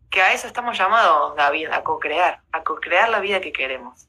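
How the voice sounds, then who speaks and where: With an Argentine accent, a woman talks in a bright, sharp tone, her pitch swinging very widely. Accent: Rioplatense Argentine Spanish. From Argentina, Rosario. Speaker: motivational speaker and former lawyer. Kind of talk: casual interview.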